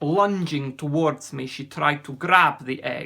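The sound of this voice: A man uses a put-on character voice with a fairly high pitch and vocal fry. He speaks slowly, with ordinary pitch variation and a bright, sharp tone.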